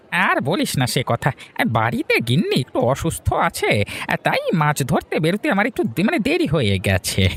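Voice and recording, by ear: A cartoonish character voice at middle pitch and a moderate pace.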